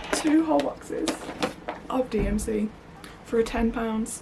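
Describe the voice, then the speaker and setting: Amid noticeable background noise, a woman with a West Midlands accent speaks at a fairly high pitch. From West Midlands, England. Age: 30s. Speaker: crafting vlogger. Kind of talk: casual vlog chat. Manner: hesitant, many fillers.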